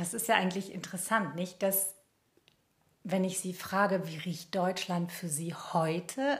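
A woman's somewhat breathy voice moves through ordinary pitch variation. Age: 50s. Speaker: journalist and podcast co-host. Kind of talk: casual chat.

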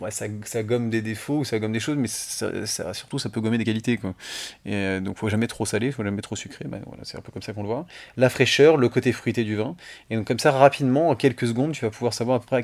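Very fast and marked by big swings in loudness, a man talks at medium pitch. The recording is very clean with a silent background. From northern Île-de-France area near Chantilly, France. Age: 30s. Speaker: champagne house co-founder. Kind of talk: casual interview. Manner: halting, frequent repetitions.

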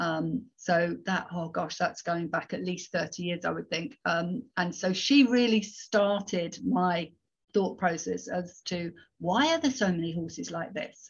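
A woman with a fairly low pitch speaks at a fairly slow pace, somewhat breathy and with ordinary pitch variation. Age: 50s. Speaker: horse behaviour consultant. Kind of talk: interview. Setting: video call.

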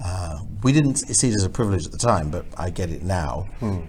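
With audible room echo, a man speaks at a moderate pace in a very deep, low voice that is dark, mellow and somewhat breathy. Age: 60s. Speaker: member of the House of Lords. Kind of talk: interview. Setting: Houses of Parliament.

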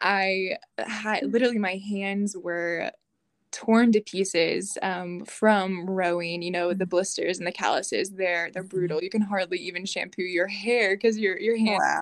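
With fairly even intonation, a woman speaks in a plain, everyday voice. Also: medium pitch for a woman, very clean recording, silent background. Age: 20s. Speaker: former college athlete. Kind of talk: interview.

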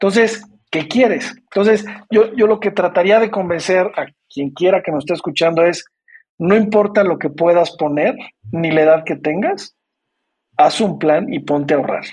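Speaking with a Mexican accent, a man uses a high pitch with ordinary variation, a moderate pace, and long, frequent pauses. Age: 50s. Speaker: retirement savings entrepreneur. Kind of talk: interview.

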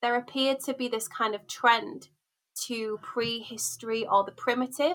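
In a Yorkshire accent, a woman speaks at a high pitch and a moderate pace. Her tone is bright and sharp, and her intonation fairly even. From Hull, Yorkshire, northern England. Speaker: academic researcher. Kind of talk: interview conversation.

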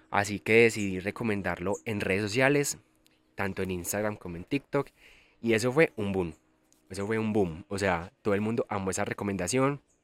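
Moderate pace and ordinary pitch variation with a Colombian paisa accent, in a dry, close sound with no echo. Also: man, fairly low pitch for a man. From Colombia, Antioquia (El Carmen de Viboral). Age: 20s. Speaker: podcast host, travel influencer. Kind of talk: casual monologue. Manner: animated.

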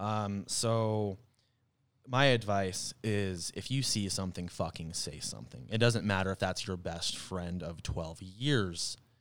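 Over a very clean recording with a silent background, a man with a plain, everyday voice and an American accent speaks fairly slowly at a fairly low pitch with ordinary pitch variation. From Arizona, US. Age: 20s. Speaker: musician. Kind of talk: casual chat.

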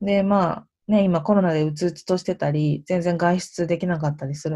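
Somewhat breathy and dark, mellow in tone, a woman speaks at a fairly low pitch and a fairly quick pace. Her intonation stays fairly even on a very clean recording with a silent background. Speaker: podcast host. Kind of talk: casual solo monologue.

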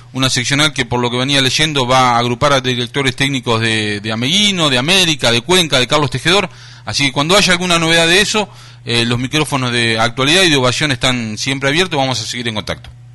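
Over noticeable background noise, a man with a Rioplatense accent speaks very fast at a medium pitch with ordinary pitch variation. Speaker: radio host. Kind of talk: radio interview. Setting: studio.

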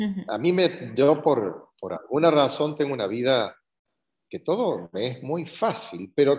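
A man speaks with a Cordoban Argentine accent and a fairly high pitch. His voice has vocal fry and very wide pitch swings. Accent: Argentine (Cordoba) Spanish. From Argentina, Córdoba. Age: 70s. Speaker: retired course graduate. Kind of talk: interview testimony. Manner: halting.

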